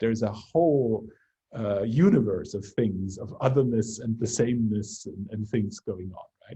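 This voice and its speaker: With a Bavarian accent, a man speaks at a medium pitch in a somewhat breathy, dark, mellow tone with ordinary pitch variation. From Bavaria, Germany. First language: German. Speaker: research lab leader. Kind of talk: academic seminar discussion. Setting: video call.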